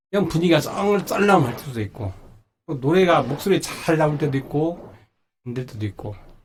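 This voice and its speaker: This man's delivery has lively intonation. He keeps a moderate pace. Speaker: singer and legal scrivener. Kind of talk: personal talk practice speech. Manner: halting, self-correcting.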